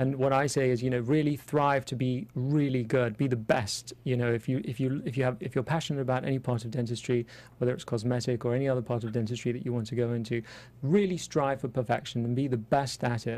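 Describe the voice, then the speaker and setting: With an English accent, a man speaks at a very fast pace and medium pitch, his intonation fairly even. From London, England. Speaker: cosmetic dentist. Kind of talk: interview. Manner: hesitant, many fillers.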